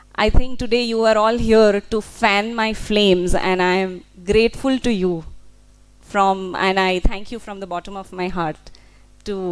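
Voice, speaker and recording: A woman with a Gujarati accent speaks at medium pitch with fairly even intonation and big swings in loudness. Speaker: translator. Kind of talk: speech at a book launch. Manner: halting, many fillers.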